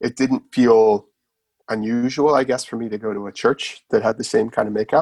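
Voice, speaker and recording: With a Nova Scotian accent, a man talks at a moderate pace and medium pitch with fairly even intonation, the sound dry and close with no echo. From Canada, Nova Scotia. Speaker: author. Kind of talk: podcast interview.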